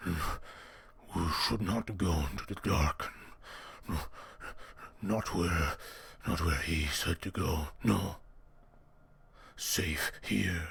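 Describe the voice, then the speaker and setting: A gruff, put-on character voice from a man, very deep and low, at a very slow pace with long, frequent pauses. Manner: skittish.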